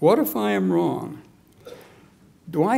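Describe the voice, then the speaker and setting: Words come very slowly from a man. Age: 70s. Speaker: political activist; speaker. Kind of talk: speech. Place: hall. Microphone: podium.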